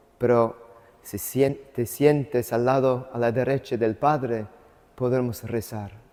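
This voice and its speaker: At a very slow pace, a man with an English accent speaks in a dark, mellow tone at a medium pitch, his intonation fairly even. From US South, Atlanta. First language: English (speaking Spanish). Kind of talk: lecture. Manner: halting.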